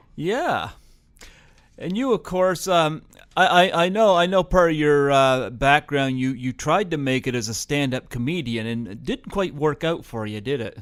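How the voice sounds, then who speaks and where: On a very clean recording, silent background, a man with a Canadian accent uses an unremarkable speaking voice, fairly high in pitch, with lively intonation at a moderate pace. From New Brunswick, Canada. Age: 40s. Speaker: radio host. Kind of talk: interview.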